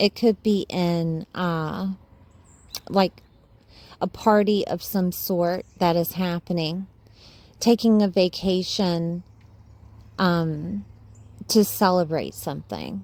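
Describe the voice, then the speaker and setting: A woman's medium-pitched voice in a Southern accent, very slow with long, frequent pauses and fairly even intonation, on a very clean recording with a silent background. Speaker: astrologer. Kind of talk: astrology forecast monologue. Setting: voice-only video, face not shown. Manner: casual, uses fillers.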